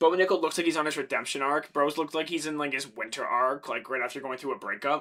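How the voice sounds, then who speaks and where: Delivery is very fast and animated, with a bright, sharp tone. Pitch moves in an ordinary way, with a Canadian accent. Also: man. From Canada, Ontario. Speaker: MMA streamer. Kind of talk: casual live stream chat.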